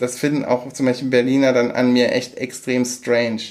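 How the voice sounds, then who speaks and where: Speaking in a flat monotone, a man with a medium pitch talks at a moderate pace. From Germany, Aachen (Rhineland). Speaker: podcast co-host. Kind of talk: casual chat. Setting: same room, recorded together. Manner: halting, many fillers.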